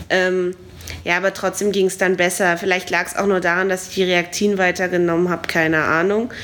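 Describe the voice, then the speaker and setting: A woman speaks at a fairly quick pace and a medium pitch, with monotone, flat intonation. Noticeable background noise is present. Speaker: podcast host. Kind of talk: casual travel chat.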